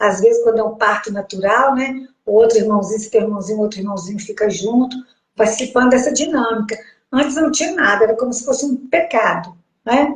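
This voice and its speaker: A woman with a fairly high pitch and a normal speaking voice talks at a fairly quick pace with ordinary pitch variation. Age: 60s. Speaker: host's mother, sharing pregnancy experience. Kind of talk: casual interview conversation.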